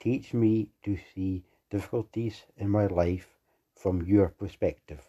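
Over a quiet background, a man speaks slowly and somewhat breathily at a fairly low pitch, with a dark, mellow tone. The sound is dry and close, with no echo. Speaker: prayer leader. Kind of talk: fervent prayer. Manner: earnest, pleading; steady, declarative.

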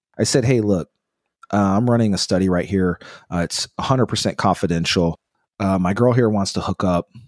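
A man speaks at a fairly low pitch with ordinary pitch variation. The sound is dry and close, with no echo. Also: fairly quick pace. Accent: American. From Texas, Houston. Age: 40s. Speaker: life coach. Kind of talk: casual chat. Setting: video call. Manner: animated.

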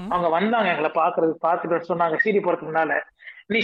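The man's voice sits high, with normal variation in its pitch. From India (Tamil). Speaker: pastor and singer. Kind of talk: interview testimony.

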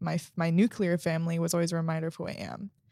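In a very clean recording with a silent background, a woman speaks at a moderate pace. Hers is an unremarkable speaking voice, pitched fairly low. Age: 20s. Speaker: sister of host. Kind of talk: casual chat.

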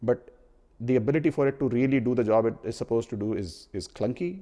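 With an Indian accent, a man speaks at a fairly quick pace and a medium pitch, showing ordinary pitch variation and a dark, mellow tone. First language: Hindi. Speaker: podcast host, product marketer. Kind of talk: casual chat. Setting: remote call.

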